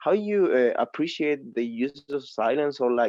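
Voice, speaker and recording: With a Spanish accent, a man speaks at a fairly high pitch in a dark, mellow tone with lively intonation, the sound dry and close with no echo against a quiet background. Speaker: student asking a question. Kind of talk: audience question at an online masterclass. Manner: halting, many fillers.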